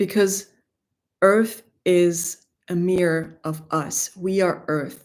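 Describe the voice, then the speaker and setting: Recorded very cleanly against a silent background, a woman with a German accent speaks at a fairly low pitch with fairly even intonation. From Greece. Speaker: spiritual teacher. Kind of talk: spiritual livestream talk. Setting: livestream.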